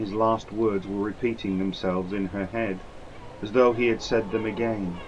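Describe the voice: Plain reading aloud with a fairly even intonation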